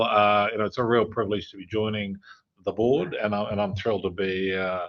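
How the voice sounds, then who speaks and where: Fairly even intonation carries this voice with an Australian accent. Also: man. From Brisbane, Australia. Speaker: investment banking executive. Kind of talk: interview. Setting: in-person studio. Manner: hesitant, many fillers.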